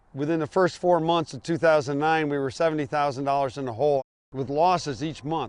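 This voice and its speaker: A man speaks in a plain, everyday voice with a fairly high pitch. His pace is fairly quick, with ordinary pitch variation. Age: 60s. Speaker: dairy farmer. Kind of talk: documentary interview.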